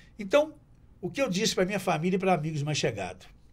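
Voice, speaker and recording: High-pitched and very fast, a man speaks with very wide pitch swings. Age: 70s. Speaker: TV presenter and local politician. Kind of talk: casual chat.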